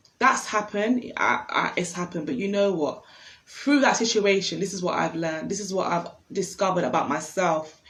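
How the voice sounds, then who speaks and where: Noticeable background noise fills the recording. A woman speaks fairly quickly over it. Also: medium pitch for a woman, ordinary pitch variation. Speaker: self-help livestream host. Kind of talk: casual monologue on instagram live. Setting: instagram live stream. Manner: fast.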